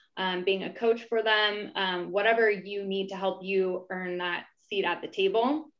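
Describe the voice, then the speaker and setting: The speaker keeps a moderate pace with hardly any pauses. Intonation is fairly even, and the background is quiet. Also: woman. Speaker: company vice president, panel moderator; panel moderator. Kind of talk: moderated panel discussion. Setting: video call live stream. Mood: warm, encouraging. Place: home room. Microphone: video call.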